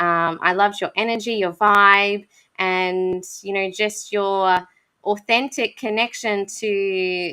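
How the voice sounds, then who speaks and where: In an Australian accent, a woman speaks at a very slow pace with a bright, sharp tone, medium pitch and fairly even intonation, captured on a very clean recording with a silent background. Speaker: podcast host. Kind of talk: casual interview chat.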